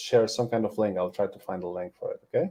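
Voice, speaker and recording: Here a man speaks with a Polish accent. His pace is fairly quick. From Poland. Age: 40s. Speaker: animation tutor. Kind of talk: webinar presentation.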